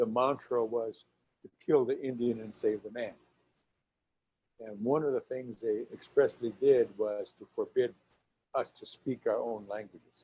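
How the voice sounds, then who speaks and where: Pausing long and often, a man talks at a fairly slow pace with big swings in loudness. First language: Lakota. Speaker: author and storyteller. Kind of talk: lecture.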